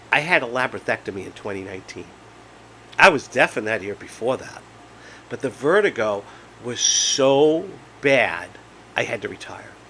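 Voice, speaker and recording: With long, frequent pauses, a man at medium pitch speaks with very wide pitch swings and big swings in loudness over noticeable background noise. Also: moderate pace. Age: 50s. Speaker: vlogger with Meniere's disease. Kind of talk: casual monologue vlog. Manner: halting; animated.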